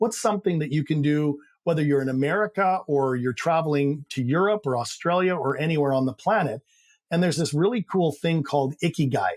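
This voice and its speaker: Speaking at a fairly quick pace with a slight Canadian accent, a man uses a fairly high pitch and very even loudness, the sound dry and close with no echo on a very clean recording with a silent background. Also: ordinary pitch variation. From Canada. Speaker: high-performance coach. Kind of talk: interview.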